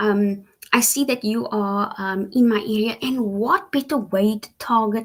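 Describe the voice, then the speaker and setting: A woman talks fairly slowly in a fairly high, somewhat breathy voice, her pitch varying in an ordinary way. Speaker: online English teacher. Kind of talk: live stream talk. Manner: casual, hesitant with fillers.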